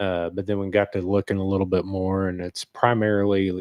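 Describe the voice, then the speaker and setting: Quietly and at a moderate pace, a man with a fairly low pitch talks in a monotone, flat intonation. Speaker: hunter. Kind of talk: casual chat.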